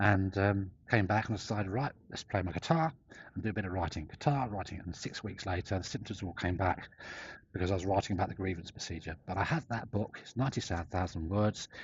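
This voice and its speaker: A man with a fairly low pitch talks at a very fast pace. His voice is somewhat breathy, with ordinary pitch variation. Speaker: whistleblower vlogger. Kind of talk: personal vlog monologue. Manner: halting, fragmented.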